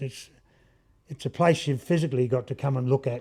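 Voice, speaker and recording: Somewhat breathy and dark, mellow in tone, the voice has an Australian accent and ordinary pitch variation on a very clean recording with a silent background. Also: man. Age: 70s. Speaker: woodworker and gallery owner. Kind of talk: interview. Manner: halting.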